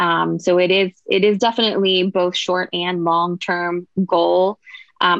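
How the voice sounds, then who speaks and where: A woman's plain, everyday voice in an American accent, medium in pitch, with fairly even intonation. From Pittsburgh, Pennsylvania. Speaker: registered dietitian. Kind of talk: podcast interview.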